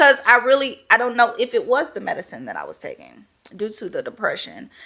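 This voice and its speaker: Against a very clean, silent background, a woman with a Louisiana accent talks at a fairly quick pace with big swings in loudness. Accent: Southern US, Louisiana. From Louisiana, Baton Rouge. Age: 20s. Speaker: podcast guest, first-time mother. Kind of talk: casual interview chat.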